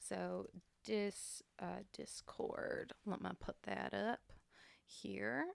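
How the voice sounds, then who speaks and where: The recording of this woman sounds dry and close, with no echo at all. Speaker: singer-songwriter and music producer. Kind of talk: casual livestream chat. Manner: animated.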